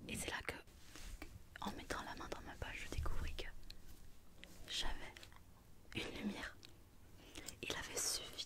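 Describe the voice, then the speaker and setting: Whispering, a woman leaves long, frequent pauses, with noticeable background noise behind her. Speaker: ASMR content creator. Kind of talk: ASMR roleplay storytelling to camera. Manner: soft, intimate, slow.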